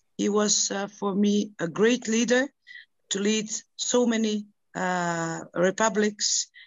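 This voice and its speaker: In a Macedonian accent, a woman speaks at a very slow pace with a medium pitch and fairly even intonation. The recording is dry with no echo and has a quiet background. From North Macedonia. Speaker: NGO president and peace activist. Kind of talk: panel discussion. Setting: video call. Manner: halting. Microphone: video call.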